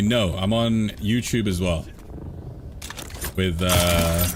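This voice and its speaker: Heard with audible room echo and noticeable background noise, a man uses lively intonation at a very even loudness, pausing long and often. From England, London. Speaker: gaming streamer. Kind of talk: casual live-stream chat.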